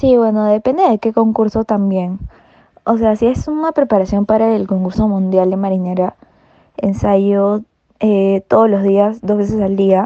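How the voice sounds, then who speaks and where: A woman at a medium pitch, with fairly even intonation and very even loudness. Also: fairly slow pace. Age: 20s. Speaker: marinera dancer. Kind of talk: interview. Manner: hesitant fillers.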